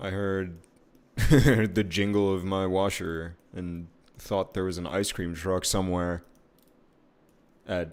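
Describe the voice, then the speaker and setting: A man mumbling very slowly at a very deep, low pitch, with long, frequent pauses. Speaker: streaming artist. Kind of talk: casual live-stream commentary while drawing.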